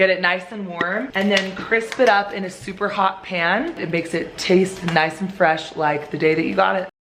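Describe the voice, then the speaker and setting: The speaker has an upbeat tone, a fairly slow pace, and ordinary pitch variation. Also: woman. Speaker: family lifestyle vlogger, mother of eight. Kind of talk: casual talk to camera.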